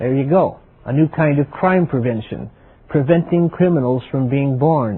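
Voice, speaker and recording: A man has a plain, everyday voice with an American accent. He talks fairly high in pitch at a moderate pace, with ordinary pitch variation. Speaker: TV series host. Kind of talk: TV documentary presentation.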